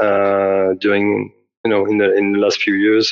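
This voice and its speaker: A man speaks at a moderate pace with a fairly low pitch and a French accent. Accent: French accent, noticeable. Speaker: game developer. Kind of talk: interview. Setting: audio call. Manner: halting, many fillers.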